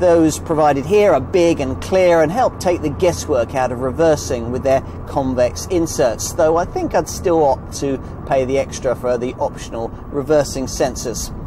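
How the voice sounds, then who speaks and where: With lively intonation and a moderate pace, a man speaks against noticeable background noise in a dry sound with no echo. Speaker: motoring reviewer. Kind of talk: vehicle review commentary. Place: car. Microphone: lapel.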